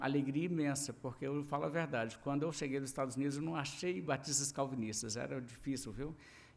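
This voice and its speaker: A fairly high-pitched man with a Minas Gerais accent and fairly even intonation, in audible room echo. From Brazil, Minas Gerais. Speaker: pastor. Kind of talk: sermon. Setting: church service.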